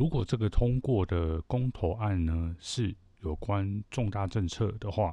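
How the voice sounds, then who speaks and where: Against a quiet background, a man talks at a fairly slow pace, his fairly low, somewhat breathy voice showing ordinary pitch variation. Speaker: podcast host. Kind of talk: solo commentary monologue.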